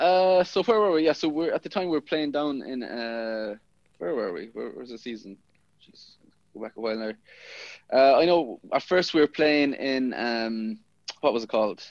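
With a west of Ireland accent, a man speaks at medium pitch and a moderate pace. His intonation is lively, and the background is quiet. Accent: west of Ireland Irish. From Inishmore, Aran Islands, west of Ireland. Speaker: rugby player. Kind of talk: casual interview.

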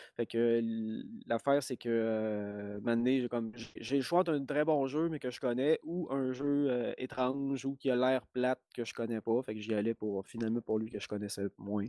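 At a fairly slow pace, a man talks at medium pitch. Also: ordinary pitch variation. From Quebec, Lac-Saint-Jean region. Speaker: game design lecturer. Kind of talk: interview.

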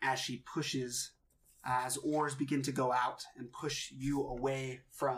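The text is given as plain reading aloud. Nothing more is added to the delivery.

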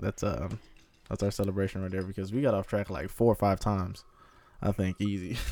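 A man with a plain, everyday voice talks at a fairly quick pace. His pitch is fairly low and his intonation fairly even. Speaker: podcast host. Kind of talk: casual chat. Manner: loud, casual, profane.

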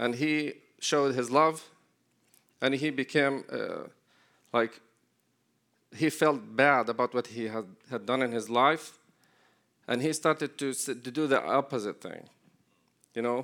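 Speaking in an Arabic accent at a fairly slow pace, a man with a medium pitch and a bright, sharp tone keeps fairly even intonation and takes long, frequent pauses on a very clean recording with a silent background. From Palestine, Jericho. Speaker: ministry leader. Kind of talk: church talk.

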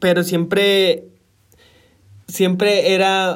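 A man speaks at a very slow pace. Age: 20s. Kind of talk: personal testimony. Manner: halting, many fillers.

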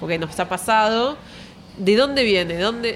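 A woman at a fairly slow pace with ordinary pitch variation, music in the background. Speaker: architect. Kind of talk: casual interview chat. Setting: café patio.

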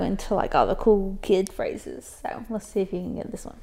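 This woman talks at a moderate pace with an American accent. Hers is an ordinary speaking voice, fairly high in pitch. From South Carolina. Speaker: podcast co-host. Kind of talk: casual chat.

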